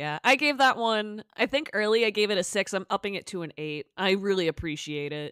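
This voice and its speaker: With an American accent and a normal speaking voice, a woman talks at a fairly quick pace with lively intonation and hardly any pauses, on a very clean recording with a silent background and a dry, close sound with no echo. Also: medium pitch for a woman. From Massachusetts. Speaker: podcast host. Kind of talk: casual chat.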